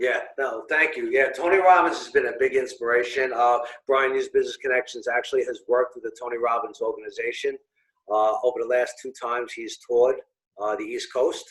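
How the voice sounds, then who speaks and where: Here a man talks with a Brooklyn accent. His pace is fairly quick, and his loudness swings a lot. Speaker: business owner and networking organizer. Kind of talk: interview. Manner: halting, many fillers.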